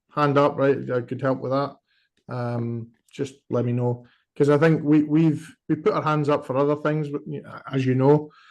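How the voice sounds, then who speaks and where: A man with a strong Scottish accent speaks at a fairly high pitch with fairly even intonation. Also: moderate pace. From Scotland. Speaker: working group member. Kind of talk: online work meeting.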